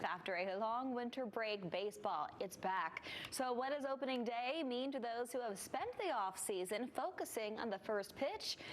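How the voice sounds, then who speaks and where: Over noticeable background noise, a woman with an American accent and fairly high pitch talks at a moderate pace, her intonation lively and her loudness very even. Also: hardly any pauses. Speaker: television news anchor. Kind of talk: TV news anchor delivery.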